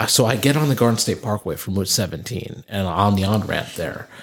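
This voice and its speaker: With a New Jersey accent and lively intonation, a man talks at a fairly quick pace over noticeable background noise. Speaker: podcast co-host. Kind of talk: casual chat.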